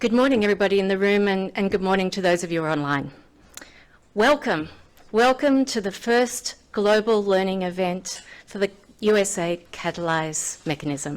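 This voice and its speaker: A woman with an Australian accent, medium pitch, lively intonation and a moderate pace. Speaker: finance executive. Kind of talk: conference speech. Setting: podium with live audience.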